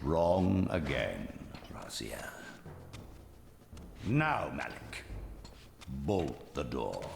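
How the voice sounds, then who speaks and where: In a put-on character voice with a very deep, low pitch, a man speaks at a very slow pace with long, frequent pauses over clear background noise. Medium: video game. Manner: sneering, imperious.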